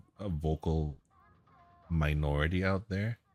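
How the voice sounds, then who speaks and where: A man with a very deep, low pitch speaks at a moderate pace. Music plays in the background. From Canada. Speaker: game streamer. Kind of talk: casual live-stream chat. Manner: quiet, lowered voice; halting, repeats words.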